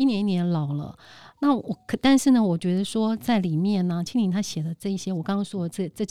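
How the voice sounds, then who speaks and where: The voice has a dark, mellow tone, a Taiwanese accent and lively intonation at a fairly quick pace. The sound is dry and close with no echo, on a very clean recording with a silent background. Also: woman. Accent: Taiwanese Mandarin. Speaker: event host. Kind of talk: casual chat.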